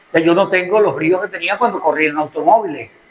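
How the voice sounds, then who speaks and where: The man's voice is high. He talks at a rather quick clip. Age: 70s. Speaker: journalist and lawyer. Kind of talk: interview. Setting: restaurant.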